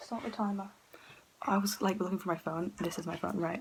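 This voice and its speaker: Someone whispers at a fairly quick pace. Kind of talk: casual talk to camera. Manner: whispered.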